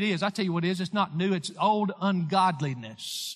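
With a Tennessee accent, a man with a high pitch speaks at a fairly quick pace. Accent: Southern US (Tennessee). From US South, Lawrence County, Tennessee. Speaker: pastor. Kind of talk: sermon.

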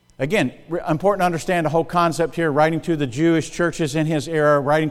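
Speaking in an American accent, a man uses a fairly high pitch, a fairly quick pace, and fairly even intonation. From US South, South Carolina. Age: 60s. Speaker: pastor. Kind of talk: sermon. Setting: church. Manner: fast talker.

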